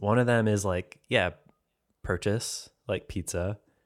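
In a very clean recording with a silent background, a man speaks at a fairly slow pace and fairly low pitch with ordinary pitch variation. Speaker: video game podcast co-host. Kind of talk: casual chat.

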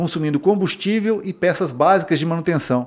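A man speaking at a moderate pace. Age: 40s. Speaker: mechanic and auto repair business owner. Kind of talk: interview.

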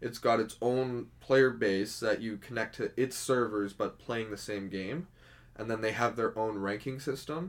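In a plain, everyday voice with a Canadian accent, a man speaks at a fairly slow pace and medium pitch with ordinary pitch variation, on a very clean recording with a silent background. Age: 20s. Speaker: hospital porter and drummer. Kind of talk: casual chat.

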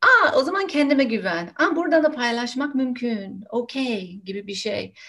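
A woman with a high pitch talks at a fairly slow pace, her pitch swinging very widely. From United States. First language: English (speaking Turkish). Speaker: nonviolent communication trainer. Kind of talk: casual interview.

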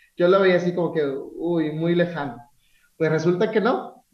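The man's voice sits high in pitch, with fairly even intonation. Audible room echo is present. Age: 30s. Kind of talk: casual interview.

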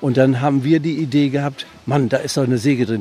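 Music plays in the background as a man speaks at a very fast pace. His pitch is fairly high. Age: old. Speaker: retired ship engineer. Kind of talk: casual chat. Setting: outdoors.

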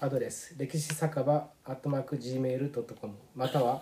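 He speaks at a moderate pace and a medium pitch. This man has an unremarkable speaking voice. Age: middle-aged. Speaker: podcast host. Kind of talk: scripted show intro.

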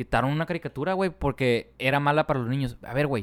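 A man talks at a fairly quick pace in a fairly high pitch with ordinary pitch variation. It is an unremarkable speaking voice, recorded dry and close with no echo. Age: 20s. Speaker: podcast co-host. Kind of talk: casual chat.

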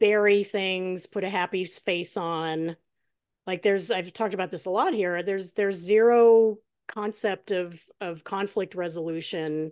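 Over a quiet background, a woman with an ordinary speaking voice talks at a fairly slow pace. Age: 50s. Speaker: podcast host. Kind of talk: casual interview.

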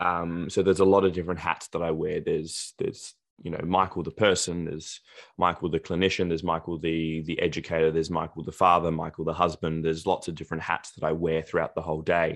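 Against a quiet background, a man with an Australian accent talks at a very fast pace, his very deep, low voice monotone and flat. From Australia, Adelaide. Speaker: dentist. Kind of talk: podcast interview.

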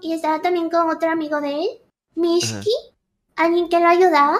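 A woman speaks in an extremely high pitch. Her pace is fairly slow. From Ecuador. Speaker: streamer and VTuber. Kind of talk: casual chat.

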